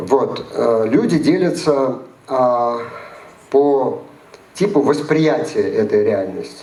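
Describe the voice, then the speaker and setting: Speaking at a very slow pace with long, frequent pauses, a man with a fairly high pitch uses lively intonation at a very even loudness, with audible room echo and noticeable background noise. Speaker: psychologist and lecturer. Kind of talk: lecture.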